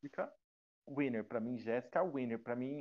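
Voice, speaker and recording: A man's medium-pitched voice at a very fast pace. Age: 20s. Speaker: podcast guest, reality show fan. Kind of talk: casual chat.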